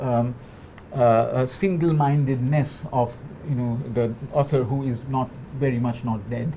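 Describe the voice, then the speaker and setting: A man talks with a Bengali accent at a fairly slow pace. His medium pitch follows fairly even intonation. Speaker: postdoctoral researcher in digital humanities. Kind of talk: panel talk. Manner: halting, many fillers and repetitions.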